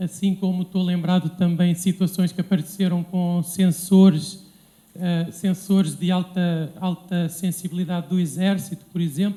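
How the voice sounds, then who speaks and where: With a dark, mellow tone and a high pitch, a man speaks at a moderate pace in monotone, flat intonation. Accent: European Portuguese. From Portugal. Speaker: civil engineer. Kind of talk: lecture. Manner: halting, many fillers.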